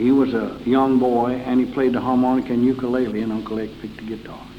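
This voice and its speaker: Delivered at a very fast pace in an Appalachian accent, the speech is monotone and flat over noticeable background noise. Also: man, medium pitch for a man. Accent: Southern Appalachian American. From Carroll County, Virginia, US. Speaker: old-time country musician. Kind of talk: interview answer.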